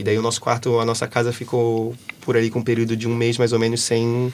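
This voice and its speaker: A man speaks with a Brazilian accent. He keeps a fairly quick pace. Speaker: exchange student. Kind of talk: casual chat. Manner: fast; animated.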